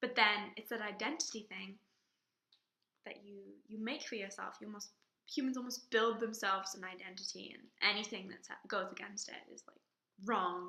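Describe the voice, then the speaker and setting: A woman with an English accent speaks at a medium pitch and a moderate pace, her tone bright and sharp and her intonation fairly even. Her loudness swings widely, and she takes long, frequent pauses. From England. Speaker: drama student. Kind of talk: personal video reflection.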